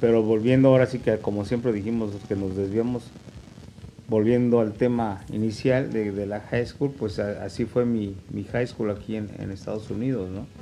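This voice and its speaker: A man with a Mexican accent, fairly low pitch, fairly even intonation and a moderate pace. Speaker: podcast host. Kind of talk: casual chat.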